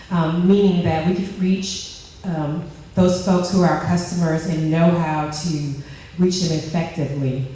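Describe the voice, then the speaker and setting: The speaker talks at a moderate pace against noticeable background noise. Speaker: leadership program participant presenting. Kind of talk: group presentation. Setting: stage with microphone before audience. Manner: loud.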